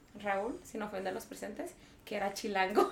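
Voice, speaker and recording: Fairly quick speech from a woman, with noticeable noise in the background. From Mexico, Michoacán. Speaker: podcast guest. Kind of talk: casual chat.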